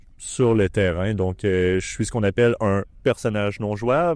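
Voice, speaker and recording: A man with a Quebec accent speaks at a fairly slow pace in a fairly low pitch, with ordinary pitch variation against a quiet background. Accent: Québécois French. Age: 20s. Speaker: larp player and former organizer. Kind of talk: documentary interview.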